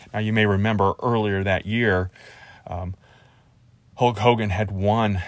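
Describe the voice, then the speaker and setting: With an unremarkable speaking voice and an American accent, a man speaks at fairly low pitch. His pace is moderate and his intonation fairly even. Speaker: podcast host. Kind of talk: casual solo podcast monologue about pro wrestling. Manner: conversational, rambling, laid-back.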